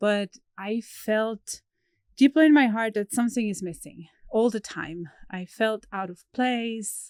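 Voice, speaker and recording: In a Swiss German accent, a woman talks fairly slowly at a fairly high pitch with ordinary pitch variation and big swings in loudness, recorded dry and close with no echo against a silent background. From Switzerland. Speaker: horse trainer. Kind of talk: podcast interview. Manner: hesitant, with fillers.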